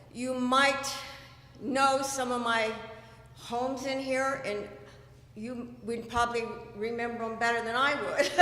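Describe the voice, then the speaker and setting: A woman with an American accent speaks at a high pitch and a fairly slow pace, with monotone, flat intonation and long, frequent pauses. Noticeable background noise and audible room echo are present. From California. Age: 60s. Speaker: committee candidate, home builder. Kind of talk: candidate speech at town hall. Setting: town hall meeting.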